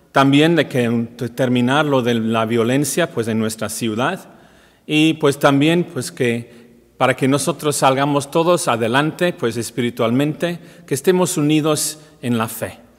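A man's fairly high pitch with ordinary variation at a fairly slow pace, over a quiet background. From Wales. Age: 50s. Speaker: priest. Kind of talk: welcome message; welcome address to parishioners. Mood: warm, calm, earnest. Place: church.

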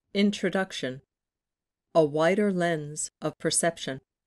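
A woman's fairly low, fairly even voice at a fairly slow pace, dry and close with no echo against a quiet background. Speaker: audiobook narrator. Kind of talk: audiobook narration.

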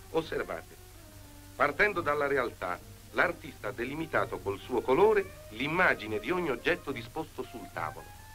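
Music plays in the background as a man with a fairly high pitch talks at a moderate pace, his pitch swinging very widely. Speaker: actor. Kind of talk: documentary narration.

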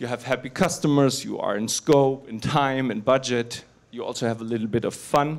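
A man's pitch shifts in an ordinary way while his pace remains moderate. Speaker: conference speaker. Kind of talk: conference talk. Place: hall. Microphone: handheld.

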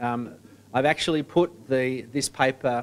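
A man with an Australian accent speaks at a medium pitch with fairly even intonation over light background noise. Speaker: sports association executive. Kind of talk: presentation. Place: meeting room.

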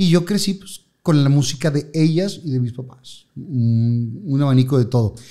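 Speaking at a fairly slow pace, a man has a dark, mellow tone against a quiet background. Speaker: TV host and radio announcer. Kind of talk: casual chat. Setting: studio. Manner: animated. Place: studio. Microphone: studio mic.

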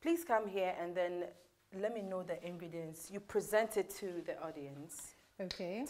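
At a moderate pace, the speaker uses a Ghanaian accent and leaves long, frequent pauses. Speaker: cooking show host. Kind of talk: cooking show hosting, casual chat. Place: kitchen.

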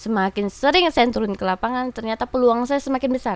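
A woman with a high pitch speaks with lively intonation, the sound dry and free of echo. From Batam, Riau Islands, Indonesia; Riau Islands, Indonesia. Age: young. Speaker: political candidate; candidate. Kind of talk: interview. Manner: frequent laughter. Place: studio. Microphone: studio mic.

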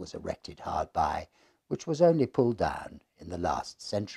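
Against a quiet background, the voice has vocal fry, a dark, mellow tone, and very wide pitch swings. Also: man. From England. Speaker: reader and storyteller. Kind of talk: ghost story reading aloud. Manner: measured, dramatic storytelling pace; formal, atmospheric narration. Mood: hushed, atmospheric ghost-story tone. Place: home room.

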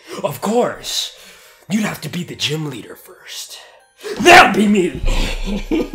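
A man puts on a high-pitched character voice and talks very slowly. His loudness swings widely. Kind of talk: comic overacting of game dialogue. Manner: hyped, boastful.

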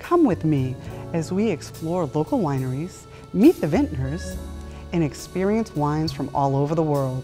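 Faint music plays in the background as a woman with a very deep, low pitch speaks at a moderate pace. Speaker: show host. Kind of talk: tv host interview.

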